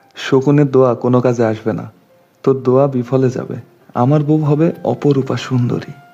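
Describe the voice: The passage gets plain reading aloud with fairly even intonation.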